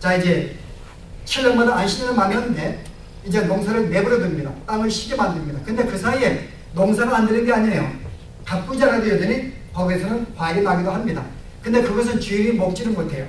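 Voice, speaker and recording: Speaking very fast in a Gyeongsang accent, a man uses a high pitch with ordinary variation. Noticeable background noise and audible room echo fill the recording. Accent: Gyeongsang dialect, affects pronunciation. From Gyeongsang province, Korea. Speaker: pastor. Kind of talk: sermon.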